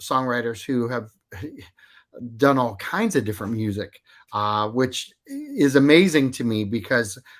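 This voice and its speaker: Lively intonation at a fairly slow pace. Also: man. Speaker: radio host. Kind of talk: radio interview. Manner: hesitant, conversational.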